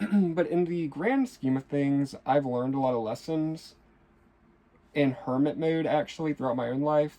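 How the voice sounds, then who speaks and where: This man's voice has a dark, mellow tone. He talks at a moderate pace with ordinary pitch variation. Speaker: tarot reader. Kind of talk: tarot reading monologue. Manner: stumbles over words.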